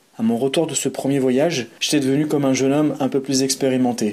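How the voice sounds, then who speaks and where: Here is a man with an unremarkable speaking voice at a medium pitch. He talks at a fairly quick pace with fairly even intonation. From France, Savoie (Aix-les-Bains). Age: 30s. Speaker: boxer, cultural activity leader and traveler. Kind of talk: reading aloud a personal narrative.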